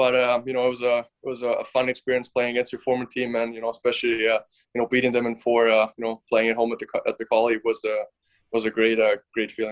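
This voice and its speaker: In a German accent, a man speaks at a very fast pace with a medium pitch and monotone, flat intonation, the sound dry and close with no echo. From Germany. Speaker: professional hockey player. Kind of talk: podcast interview.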